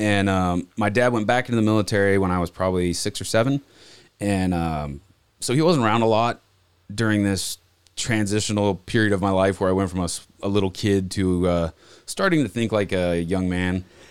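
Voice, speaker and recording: A man with an unremarkable speaking voice and fairly low pitch talks at a moderate pace with ordinary pitch variation and very even loudness in a very clean recording with a silent background. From Montana, US. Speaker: diesel shop manager. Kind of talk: testimony.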